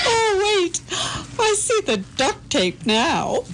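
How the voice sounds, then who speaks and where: Using a put-on character voice, a woman squeaks at an extremely high pitch and a very slow pace over clear background noise. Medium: audio drama. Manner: sarcastic, wisecracking.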